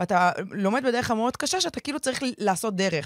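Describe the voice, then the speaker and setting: A woman's unremarkable speaking voice, fairly quick and lively, with a dry, close sound with no echo on a very clean recording with a silent background. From Israel, ultra-Orthodox community. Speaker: podcast host. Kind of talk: casual chat.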